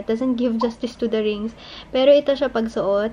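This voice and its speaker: Her tone is dark and mellow as a woman talks at a fairly quick pace with fairly high pitch. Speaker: lifestyle vlogger. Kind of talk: casual vlog. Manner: animated.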